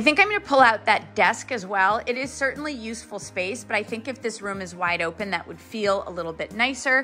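Over faint music in the background, a woman talks at a fairly quick pace with hardly any pauses. Her pitch varies in an ordinary way while her loudness swings a lot. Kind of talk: casual vlog chat. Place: home room. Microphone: phone near.

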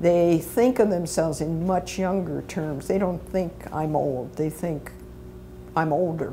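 Talking at a fairly slow pace, a woman with a fairly low pitch has an ordinary speaking voice, with light background noise behind her. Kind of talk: interview answer. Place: studio. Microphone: lapel.

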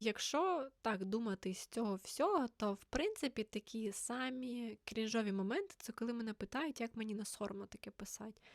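Using a plain, everyday voice, a woman speaks at a moderate pace with a fairly high pitch and ordinary pitch variation, in a dry, close sound with no echo. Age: 20s. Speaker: author and teacher, book blogger. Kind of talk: casual vlog monologue.

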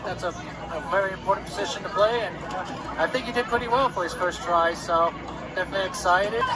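A man at a moderate pace with ordinary pitch variation, crowd noise in the background. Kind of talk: casual vlog chat. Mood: proud and excited. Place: stadium. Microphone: phone near.

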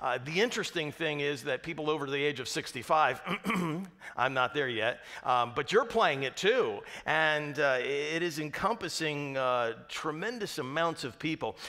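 A man's bright, sharp voice with lively intonation at a moderate pace against a quiet background. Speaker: pastor. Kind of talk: sermon. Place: church.

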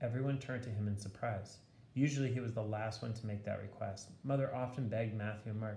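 What you hear is an unforced reading voice.

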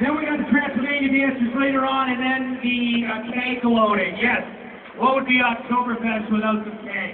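Noticeable background noise surrounds a man whose pitch is extremely high. He speaks at a moderate pace with fairly even intonation. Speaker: event announcer. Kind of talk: event announcing to a crowd. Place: street.

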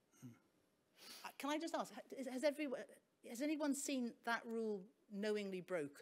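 A high-pitched woman at a moderate pace, with long, frequent pauses. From Wales. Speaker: barrister and arbitrator; panelist. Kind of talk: panel discussion. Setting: stage with audience. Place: stage.

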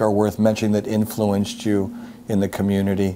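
Fairly quick pace over light background noise. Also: man. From Upper Darby, Pennsylvania. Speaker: interviewer. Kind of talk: casual interview. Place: home room. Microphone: lapel.

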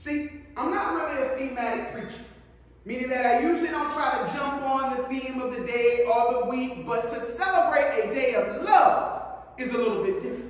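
Moderate pace with strong room echo. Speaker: pastor. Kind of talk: sermon. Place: church. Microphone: podium.

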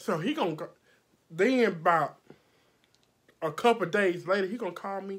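Against a quiet background, a woman speaks at a moderate pace in an animated tone, with ordinary pitch variation, big swings in loudness and long, frequent pauses. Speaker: makeup artist vlogger. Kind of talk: storytime vlog, heated retelling of an argument. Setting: video vlog, filming at home under lights. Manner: loud, animated, combative, sassy. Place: home room. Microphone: phone near.

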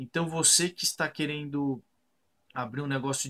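A man talks with fairly even intonation. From Brazil, Sorocaba (São Paulo state). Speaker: architect and online course student. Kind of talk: customer testimonial. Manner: hesitant, with fillers and repeated words. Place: home room. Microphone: webcam.

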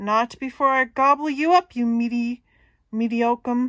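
In a very clean recording with a silent background, a woman uses a high-pitched, put-on character voice at a moderate pace. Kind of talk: picture book read-aloud. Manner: menacing, greedy, blustering.

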